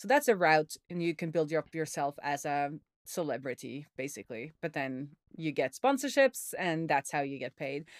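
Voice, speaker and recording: In a very clean recording with a silent background, a woman with a Norwegian accent talks at a moderate pace in a very deep, low pitch. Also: ordinary pitch variation, dry, close sound with no echo. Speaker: software developer and indie hacker. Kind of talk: casual interview chat.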